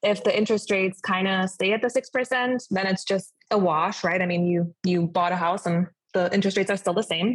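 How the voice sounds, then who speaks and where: Someone with a German accent talks fairly quickly with hardly any pauses, somewhat breathy, with very even loudness and fairly even intonation. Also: woman, medium pitch for a woman. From Germany. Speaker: realtor. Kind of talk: casual interview.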